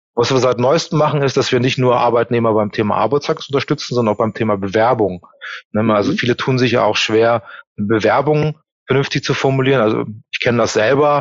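A plain, everyday voice at a fairly quick pace, with very even loudness and ordinary pitch variation. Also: man, medium pitch for a man. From Germany. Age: 40s. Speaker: employment reference consultant. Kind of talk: interview. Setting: video call.

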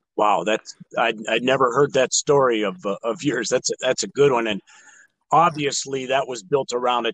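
In a western Pennsylvania accent, a man with a medium-pitched voice speaks at a moderate pace with ordinary pitch variation, and the sound is dry and close with no echo. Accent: western Pennsylvania American. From Erie, western Pennsylvania. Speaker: podcast host. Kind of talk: interview.

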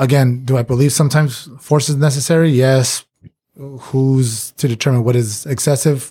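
With a dark, mellow, somewhat breathy tone, a man speaks at medium pitch and a moderate pace, keeping very even loudness and fairly even intonation. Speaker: recurring podcast guest, former bar staff. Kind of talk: casual chat. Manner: calm.

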